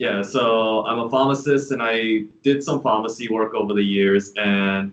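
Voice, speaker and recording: A man speaks at a fairly slow pace with a fairly low pitch. His intonation stays fairly even. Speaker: pharmacist, prospective student. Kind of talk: self-introduction in meeting. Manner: loud.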